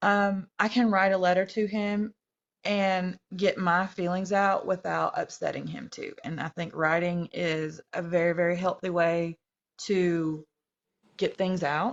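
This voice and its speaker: With a North Georgia accent, a woman speaks at a fairly slow pace. Her medium-pitched voice holds a fairly even intonation. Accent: Southern, north Georgia mountain. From US South, north Georgia. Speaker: TikTok live guest. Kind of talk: casual chat. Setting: livestream. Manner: hesitant, many ums.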